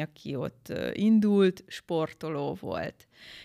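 At a very slow pace, the speech comes through a very clean recording with a silent background and a dry, close sound with no echo. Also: woman. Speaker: beauty pageant winner. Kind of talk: interview.

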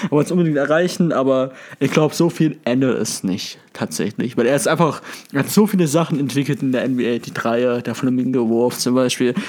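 A man's unremarkable speaking voice at medium pitch, moderately paced, with ordinary pitch variation. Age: 20s. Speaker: sports podcast co-host. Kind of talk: casual chat.

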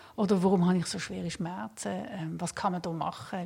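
Somewhat breathy and dark, mellow in tone, a woman speaks at a moderate pace in a fairly low pitch with ordinary pitch variation. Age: 50s. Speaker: palliative care physician. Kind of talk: interview. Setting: studio.

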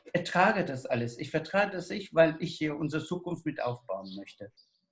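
A man speaks at a moderate pace. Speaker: dramaturge. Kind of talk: casual chat.

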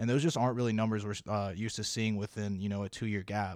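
A normal speaking voice from a man with an American accent, fairly low in pitch, fairly even in intonation, on a very clean recording with a silent background. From South Carolina. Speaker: executive assistant. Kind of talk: casual chat.

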